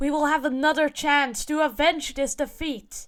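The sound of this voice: Shouting in a put-on character voice at an extremely high pitch, a man keeps a moderate pace on a very clean recording with a silent background.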